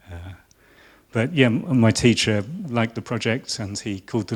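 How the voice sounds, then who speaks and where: At a moderate pace, a man talks with a southern English accent. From southern England (Hertfordshire). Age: 50s. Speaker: designer. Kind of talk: lecture. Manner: halting.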